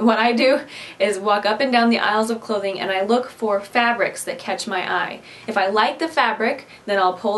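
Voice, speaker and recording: A woman with a Midwestern accent speaks at a moderate pace in a fairly high pitch, with ordinary pitch variation and noticeable background noise. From US Midwest. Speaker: DIY craft vlogger. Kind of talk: casual tutorial Q&A to camera. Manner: chatty, conversational.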